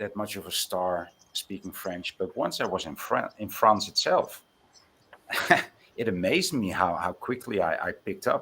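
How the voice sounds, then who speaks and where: A man at a moderate pace with a slight Dutch accent. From Netherlands. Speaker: Bible chat participant. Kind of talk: casual chat. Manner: halting.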